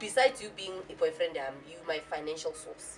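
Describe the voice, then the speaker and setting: A woman talking at a fairly quick pace over music in the background. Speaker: talk show panelist. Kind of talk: talk show discussion. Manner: animated.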